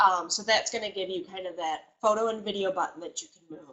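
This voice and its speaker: A woman talks at a medium pitch. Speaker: software trainer. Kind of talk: webinar tutorial. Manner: fast.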